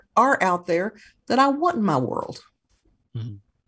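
A woman with an American accent speaks at a fairly high pitch in an ordinary speaking voice. The recording is very clean, with a silent background. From US South, Kentucky. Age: 60s. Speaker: author and folk magic practitioner. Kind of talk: interview.

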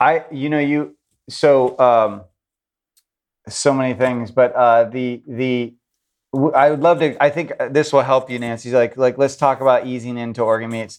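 This is an unremarkable speaking voice delivered at a moderate pace. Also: man, medium pitch for a man, fairly even intonation. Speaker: chef and food product founder. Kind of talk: casual interview chat.

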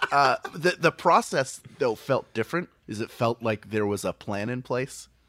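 A man with an American accent speaks at a moderate pace, his intonation lively and his pitch medium. It's a plain, everyday voice, recorded very cleanly against a silent background, with a dry, close sound and no echo. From Philadelphia. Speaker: podcaster and comedian. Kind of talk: casual chat.

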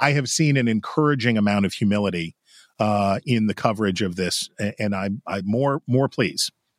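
A man's plain, everyday voice, fairly low in pitch with ordinary pitch variation and a moderate pace, in a very clean recording with a silent background and a dry, close sound with no echo. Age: 40s. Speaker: political pundit. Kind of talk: casual chat. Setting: studio.

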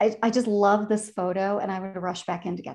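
Against a quiet background, a woman with a Chicago accent speaks at medium pitch and a fairly quick pace, her intonation monotone and flat. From Chicago, US Midwest. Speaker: career advisor and author. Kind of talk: casual interview chat.

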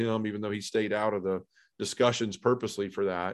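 The speaker talks at a very fast pace in a Tennessee accent, with monotone, flat intonation. The background is quiet. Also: man. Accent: Southern US (Tennessee). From US South, Memphis, Tennessee. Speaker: podcast host and recovering addict. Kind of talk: testimony.

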